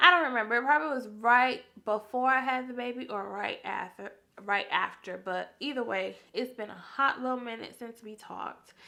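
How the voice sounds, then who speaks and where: A woman speaks at a moderate pace in a high voice, her pitch rising and falling in an ordinary way. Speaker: YouTuber and new mom. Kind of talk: casual chat. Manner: casual, filler-heavy.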